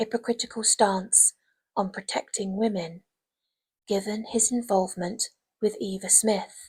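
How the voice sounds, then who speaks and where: A woman with a fairly high pitch, somewhat breathy, at a fairly slow pace with monotone, flat intonation. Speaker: English literature teacher. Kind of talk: ASMR revision lecture. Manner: soft-spoken.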